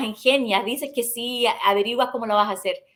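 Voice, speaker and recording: The woman's tone is bright and sharp, and her pace stays moderate. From Ohio, US (born in Chile). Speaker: journalist. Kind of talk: interview. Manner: halting, with repetitions.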